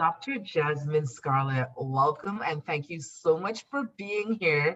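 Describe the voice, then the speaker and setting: This speaker has a Trinidadian accent. The delivery is very slow. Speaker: podcast host. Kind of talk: podcast interview. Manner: formal.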